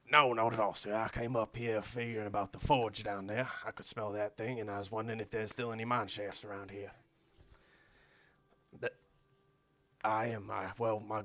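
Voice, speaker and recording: A man puts on a raspy character voice at a medium pitch. He talks at a fairly quick pace in a monotone, flat intonation. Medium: game stream. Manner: polite, folksy, says "sir" often.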